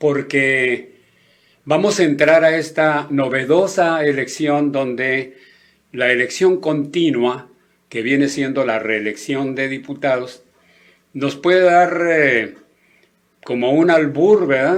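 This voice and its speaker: A man speaks at a very slow pace with long, frequent pauses. His pitch is fairly high, with ordinary variation. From northern Mexico. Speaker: radio host and politician. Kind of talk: radio talk show monologue on politics.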